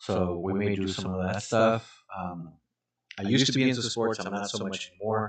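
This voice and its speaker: The speaker has a Spanish accent and ordinary pitch variation. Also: man. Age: 40s. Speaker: gaming streamer and realtor. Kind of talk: casual live stream chat. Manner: hesitant, many fillers.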